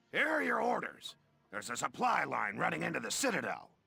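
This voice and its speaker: A man puts on a raspy character voice. He moves at a fairly quick pace. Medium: video game. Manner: pompous, condescending.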